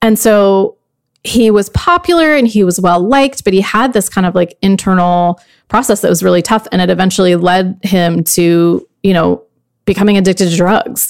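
This woman has an unremarkable speaking voice, medium in pitch, with ordinary pitch variation. She keeps a moderate pace and very even loudness. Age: 40s. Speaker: podcast host and former magazine editor. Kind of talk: interview.

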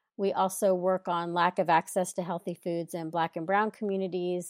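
A woman's normal speaking voice, fairly low in pitch, with an American accent, in a very clean, dry, close recording with no echo and a silent background. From Texas. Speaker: food justice activist, nonprofit founder. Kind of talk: interview.

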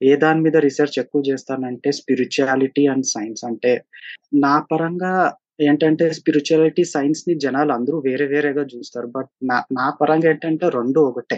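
A man speaks in an unremarkable speaking voice. His pitch is fairly high and his intonation fairly even. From India, Bangalore (Telugu family from Anantapur). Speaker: first-time author, software architect. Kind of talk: interview. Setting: virtual studio.

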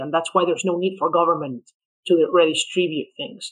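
Very fast speech in a Spanish accent, bright and sharp in tone, with fairly even intonation. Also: man. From Venezuela. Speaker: economist. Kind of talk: podcast interview.

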